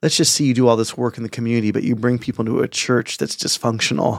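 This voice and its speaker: At a very fast pace, a man with an American accent speaks at medium pitch, the sound dry and close with no echo in a very clean recording with a silent background. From San Francisco Bay Area suburbs, US. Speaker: pastor. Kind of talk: casual chat.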